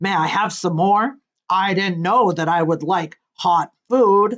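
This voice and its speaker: Using a put-on character voice, a woman of medium pitch speaks at a fairly slow pace in a rumbling, gruff tone. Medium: read story. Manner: gruff, grumbling.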